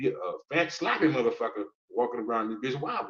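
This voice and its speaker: A man speaks at a very fast pace. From New Orleans, US South. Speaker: streamer, travel vlogger. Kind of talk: live stream monologue. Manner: animated; stammering repetitions.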